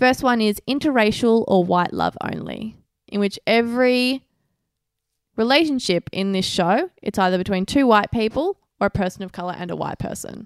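A woman with an ordinary speaking voice and a fairly high pitch talks at a moderate pace with ordinary pitch variation, recorded dry and close with no echo on a very clean recording with a silent background. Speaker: podcast co-host. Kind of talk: casual chat. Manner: blunt, teasing.

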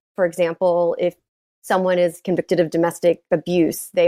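A woman's fairly low, dark and mellow voice with an American accent, fairly quick, the sound dry and close with no echo. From Texas (Dallas area). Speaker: gun safety advocate. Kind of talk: interview.

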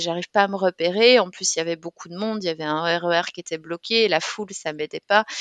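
A normal speaking voice from a woman, fairly low-pitched, at a moderate pace with fairly even intonation and a dry, close sound with no echo. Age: 30s. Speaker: bank manager and author living with dissociative identity disorder. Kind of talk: interview testimony.

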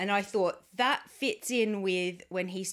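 Pitch variation is ordinary. The recording is very clean with a silent background. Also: woman. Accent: Australian. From Australia. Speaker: podcast co-host. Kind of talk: casual chat. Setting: home recording.

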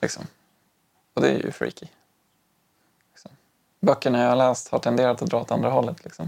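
This man talks at a medium pitch with ordinary pitch variation and vocal fry. His loudness swings a lot, and he takes long, frequent pauses. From Umeå, then Stockholm from age eight. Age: 30s. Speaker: high school teacher and zen practitioner. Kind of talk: casual interview. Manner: halting, many fillers and restarts.

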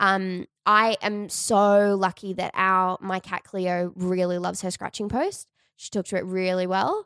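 A woman's medium-pitched voice in an Australian accent, fairly slow with hardly any pauses and monotone, flat intonation, in a dry, close sound with no echo and a very clean recording over a silent background. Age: 20s. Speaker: podcast host. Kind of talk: casual chat.

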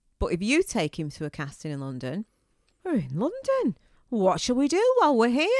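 The speaker has a northern English accent and talks at a fairly quick pace. The recording is very clean with a silent background, and the sound is dry and close with no echo. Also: woman. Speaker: podcast co-host. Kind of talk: casual chat, podcast between spouses. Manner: feisty, teasing.

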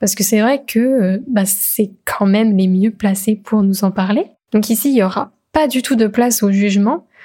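Her voice is fairly high-pitched yet dark and mellow in tone, somewhat breathy, with ordinary pitch variation, very even loudness and a fairly slow pace. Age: 20s. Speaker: podcast host. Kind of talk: solo podcast monologue. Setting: alone at a microphone.

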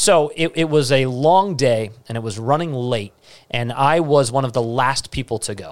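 With an American accent, a man talks in a normal speaking voice at a medium pitch and moderate pace, with ordinary pitch variation. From Staten Island, New York. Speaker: TV entertainment reporter and speaking coach. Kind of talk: interview.

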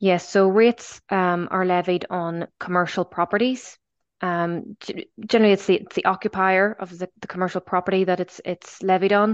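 A woman talks at a moderate pace in a medium pitch with monotone, flat intonation. Her loudness swings widely. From Belfast, Northern Ireland. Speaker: head of finance, accountant. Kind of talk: interview, conversational. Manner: hesitant, many fillers.

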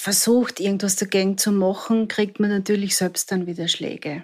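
A woman speaks in a monotone with flat intonation. The recording is very clean, with a silent background. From Austria, southern Styria. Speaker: survivor of domestic violence. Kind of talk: personal testimony. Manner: halting.

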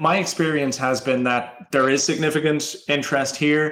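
Speaking with an Irish accent, a man keeps fairly even intonation at a moderate pace. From Ireland. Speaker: campaign pilot program manager. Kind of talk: interview.

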